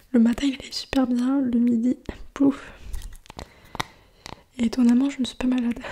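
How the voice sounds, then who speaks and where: Someone whispers, soft-spoken, at a moderate pace. Noticeable background noise runs underneath. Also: woman. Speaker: ASMR creator. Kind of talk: ASMR soft spoken talk to camera. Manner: soft-spoken, whispery, relaxing.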